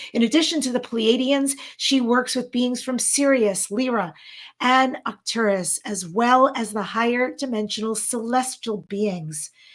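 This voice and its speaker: With an American accent, a woman speaks in a high pitch at a fairly slow pace, her tone animated and her pitch varying in an ordinary way. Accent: New York, mostly trained away, slips in. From New York. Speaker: event co-host, talk show host, former actress. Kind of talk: live online event hosting, casual chat.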